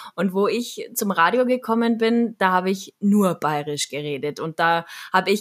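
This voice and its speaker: Here a woman speaks at a medium pitch. Her pace is fairly slow. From Munich, Bavaria. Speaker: radio journalist and social media creator. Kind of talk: casual interview.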